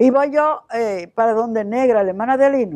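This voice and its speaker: In a Dominican accent, a woman talks at a fairly slow pace with a dark, mellow tone and lively intonation, in a dry, close sound with no echo. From Dominican Republic, Santiago. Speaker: missionary. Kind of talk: testimony. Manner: halting.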